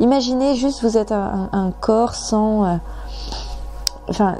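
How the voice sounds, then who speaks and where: Music runs in the background as a woman talks at a fairly slow pace. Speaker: tarot reader. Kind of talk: tarot reading. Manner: halting, repeats syllables; hesitant, many fillers.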